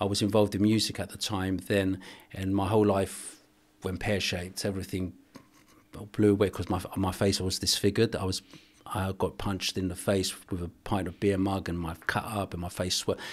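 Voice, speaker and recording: Fairly quick and monotone, a man speaks with flat intonation at a very deep, low pitch. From Cyprus, raised in London. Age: 60s. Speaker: boxing coach and archbishop. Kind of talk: interview. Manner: halting, many false starts.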